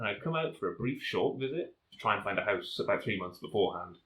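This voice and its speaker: The voice has a Northern English accent. The pace is very fast. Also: man. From North of England. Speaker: volcanologist. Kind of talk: interview answer.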